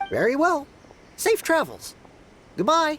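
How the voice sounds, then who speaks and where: Someone puts on a squeaky, high-pitched character voice, speaking at a fairly slow pace. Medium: video game. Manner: polite, formal.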